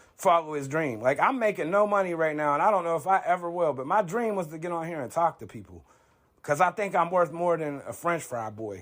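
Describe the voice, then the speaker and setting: Speaking loudly at a fairly quick pace, a man with a high voice sounds animated and passionate, his intonation lively, on a very clean recording with a silent background. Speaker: online commentator. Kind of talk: opinion monologue. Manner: loud and passionate.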